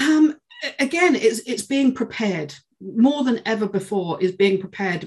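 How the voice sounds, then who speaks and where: A woman with a British accent, somewhat breathy and fairly high-pitched, with lively intonation at a moderate pace. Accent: UK English. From UK. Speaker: sales learning and development head. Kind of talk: interview conversation.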